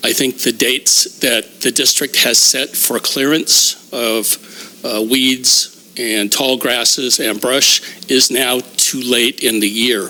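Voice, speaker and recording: Over noticeable background noise, a man talks at a very slow pace with hardly any pauses and fairly even intonation. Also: medium pitch for a man. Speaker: public commenter. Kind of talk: public comment at board meeting.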